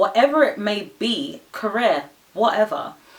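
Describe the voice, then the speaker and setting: A woman keeps a moderate pace while noticeable background noise plays behind her. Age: 20s. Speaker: lifestyle vlogger. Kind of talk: casual vlog monologue.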